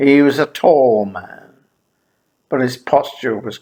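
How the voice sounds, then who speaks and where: Keeping his intonation fairly even, a man talks at a very slow pace. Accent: Irish. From Ireland. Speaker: memoir storyteller, former teacher. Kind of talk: memoir narration.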